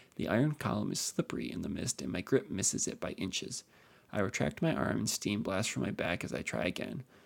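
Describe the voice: The speaker does plain reading aloud with lively intonation.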